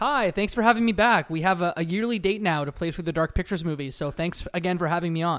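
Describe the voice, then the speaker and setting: With a Canadian accent, a man with a high pitch talks at a very fast pace with hardly any pauses and ordinary pitch variation on a very clean recording with a silent background. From Canada. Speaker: podcast host. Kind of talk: casual chat.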